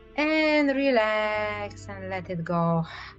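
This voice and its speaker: Over music in the background, a woman talks in a calm, soothing tone at a fairly high pitch. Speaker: certified clinical hypnotherapist. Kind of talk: hypnotherapy induction, progressive muscle relaxation. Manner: calm, soothing, slow-paced.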